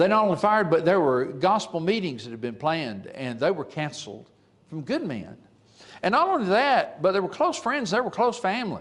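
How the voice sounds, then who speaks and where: With an Alabama accent, a man speaks at a high pitch with very wide pitch swings. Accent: Southern US (Alabama). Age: 70s. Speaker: preacher. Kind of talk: sermon. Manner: halting, frequent fillers.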